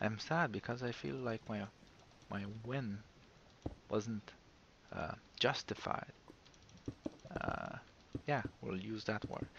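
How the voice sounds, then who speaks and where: A man speaks at a very slow pace with long, frequent pauses and a non-native accent. His pitch is fairly low, with ordinary variation. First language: not English. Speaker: gaming video creator. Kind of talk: casual gameplay commentary. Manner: halting, many fillers.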